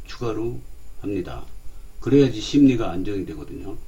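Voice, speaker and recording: Audible room echo carries a man's medium-pitched voice, which has ordinary pitch variation. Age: 60s. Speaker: stock market commentator. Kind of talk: casual investing talk. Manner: hesitant, many fillers.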